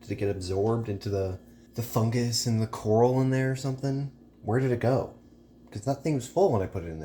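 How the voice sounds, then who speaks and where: The speaker is a man with a medium pitch. He talks at a very fast pace with ordinary pitch variation. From rural area. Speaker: vlogger. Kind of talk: casual vlog monologue.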